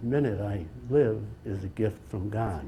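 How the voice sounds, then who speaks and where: A man's fairly low, somewhat breathy voice with a dark, mellow tone. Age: 80s+. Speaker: bishop. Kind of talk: slide presentation talk. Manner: halting.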